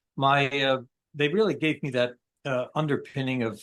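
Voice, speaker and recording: A man with an upstate New York accent speaks at a medium pitch against a quiet background. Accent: upstate New York American. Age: 60s. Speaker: military veteran. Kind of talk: interview conversation. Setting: podcast interview. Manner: halting, many fillers.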